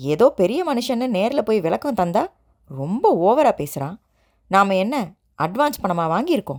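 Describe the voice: The background is still and quiet. Over it comes plain reading aloud.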